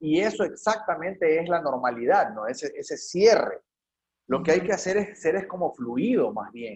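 The voice belongs to a man and sits high in pitch. It swings very widely up and down. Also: moderate pace. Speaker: artist and filmmaker. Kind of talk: interview conversation. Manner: casual, slangy.

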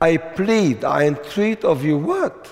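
Slowly, a man speaks with big pitch swings in a fairly high voice.

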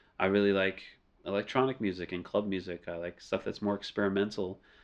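A man with an American accent and a plain, everyday voice speaks at a fairly quick pace and fairly low pitch against a quiet background. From US South, New Orleans. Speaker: music producer and studio owner. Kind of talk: casual interview. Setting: studio.

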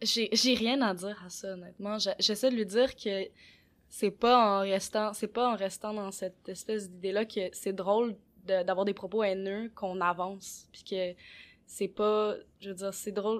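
Over a very clean recording with a silent background, a woman speaks fairly slowly in a monotone, flat way, her loudness swinging widely. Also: medium pitch for a woman. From Quebec. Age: 20s. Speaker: podcast co-host. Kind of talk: casual discussion.

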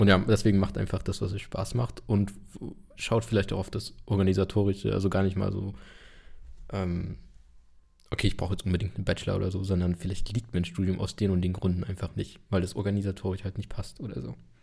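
Very fast speech from a man, very deep and low in pitch, dark and mellow in tone, with vocal fry and ordinary pitch variation. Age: 20s. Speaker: podcast host. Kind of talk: casual chat.

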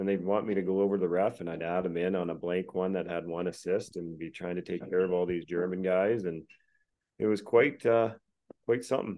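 Here is a man with a Canadian accent and an unremarkable speaking voice. His pitch is fairly low, his pace fairly quick, and his intonation fairly even. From Alberta, Canada. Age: 40s. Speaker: retired pro hockey player. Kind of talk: casual chat. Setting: call.

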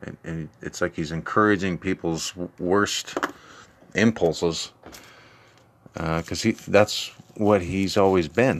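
A man with an American accent and a very deep, low pitch speaks at a very slow pace, with fairly even intonation and long, frequent pauses. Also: big swings in loudness. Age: 40s. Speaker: solo podcaster. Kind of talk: profane angry political rant, building indignation. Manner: heated, swearing, repetitive emphatic outbursts; rambling, hesitant, full of fillers and restarts.

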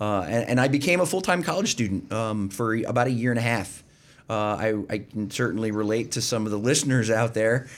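A man with an American accent and an unremarkable speaking voice, medium in pitch, at a fairly quick pace with ordinary pitch variation. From Pennsylvania, Berks County. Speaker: retired army veteran. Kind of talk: interview.

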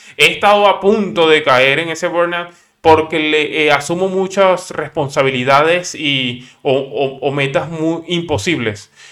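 Fairly slow yet with hardly any pauses, a man talks at a fairly high pitch in a bright, sharp tone with ordinary pitch variation. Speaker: podcaster, software developer. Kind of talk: casual monologue. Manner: halting, many fillers and repetitions.

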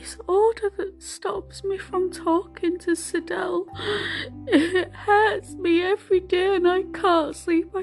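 Over clear music in the background, a put-on character voice whines at an extremely high pitch and a fairly slow pace. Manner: mocking, whiny.

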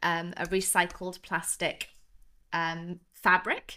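With a southern English accent, a woman speaks at medium pitch in a bright, sharp tone. The recording is very clean and the background silent. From southern England, Devon. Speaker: ocean cleanup business founder. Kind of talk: interview.

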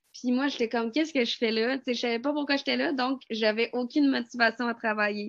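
A woman talks fairly quickly in a high pitch, her intonation fairly even. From Quebec. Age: 20s. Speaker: student. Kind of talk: testimony.

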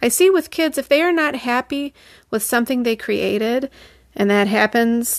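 With an unremarkable speaking voice, a woman talks at a moderate pace with ordinary pitch variation in a very clean recording with a silent background and a dry, close sound with no echo. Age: 40s. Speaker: artist and art teacher, podcast host. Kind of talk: solo podcast monologue.

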